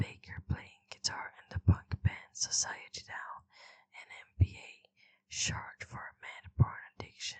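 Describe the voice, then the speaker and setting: At a fairly slow pace, the speaker whispers. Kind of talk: reading a wiki article aloud. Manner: whispered.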